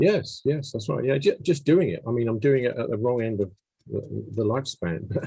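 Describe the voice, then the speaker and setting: In an English accent, a man speaks at a moderate pace and medium pitch, his dark, mellow tone somewhat breathy and his intonation lively. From England. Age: 70s. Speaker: musician. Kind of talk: interview. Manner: halting.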